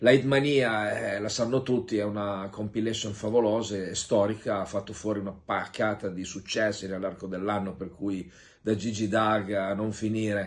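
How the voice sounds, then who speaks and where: This man's fairly low voice stays monotone and flat. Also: moderate pace. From Piedmont, Italy (Vercelli); Piedmont, Italy. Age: 60s. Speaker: music producer. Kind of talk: promotional video message. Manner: informal, somewhat halting. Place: home room. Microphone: phone near.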